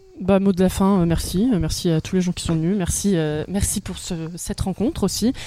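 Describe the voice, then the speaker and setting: This woman talks at a moderate pace and a medium pitch. Her tone is dark and mellow, and her pitch varies in an ordinary way. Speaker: stage performer. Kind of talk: casual chat.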